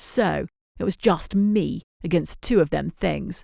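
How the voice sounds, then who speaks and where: In a put-on character voice, a female-sounding speaker growls at a middle pitch and a fairly slow pace. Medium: read story. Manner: dramatic, showy, relishing suspense.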